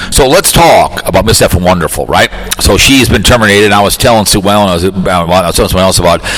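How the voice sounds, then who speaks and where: Over noticeable background noise, a man with a fairly low pitch speaks at a very fast pace, his loudness very even and his pitch variation ordinary. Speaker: podcast host. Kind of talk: casual monologue.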